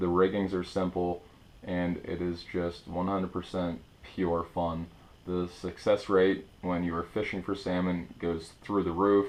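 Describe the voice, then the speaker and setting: This man's voice sits very deep and low, with monotone, flat intonation. He talks at a moderate pace. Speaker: fishing tutorial presenter. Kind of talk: tutorial.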